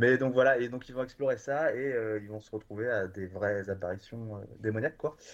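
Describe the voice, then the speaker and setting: This man has a normal speaking voice at medium pitch with ordinary pitch variation. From France, Bordeaux. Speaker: streaming platform programmer. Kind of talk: casual chat.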